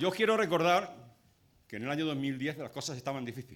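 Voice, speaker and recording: With vocal fry and a fairly high pitch, a man talks at a fairly quick pace in a very clean recording with a silent background. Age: 60s. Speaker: trade unionist. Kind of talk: speech at a public rally. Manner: impassioned.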